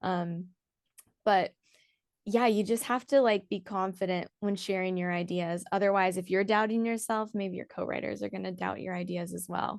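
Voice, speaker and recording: At a moderate pace and medium pitch, a woman talks in an ordinary speaking voice with fairly even intonation against a quiet background. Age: young. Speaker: EDM singer and songwriter. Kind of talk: casual interview chat. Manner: casual, chatty.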